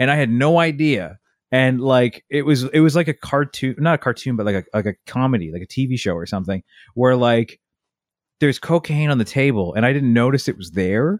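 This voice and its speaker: In a very clean recording with a silent background and a dry, close sound with no echo, a man speaks at a moderate pace in a medium pitch, with lively intonation and a normal speaking voice. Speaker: podcast co-host. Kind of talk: casual chat. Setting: home basement recording. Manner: casual, joking.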